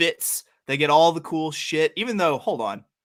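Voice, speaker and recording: In an animated tone, a man with a slight Southern US accent speaks at a fairly high pitch. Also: very clean recording, silent background. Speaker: sports podcast co-host. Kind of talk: casual chat.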